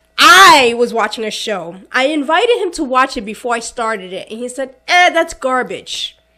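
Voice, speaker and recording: A woman speaks at a high pitch in a bright, sharp, animated tone, her voice raised and projected at a moderate pace with hardly any pauses. Her pitch swings very widely, and her loudness swings a lot. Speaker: podcast co-host. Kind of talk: casual chat.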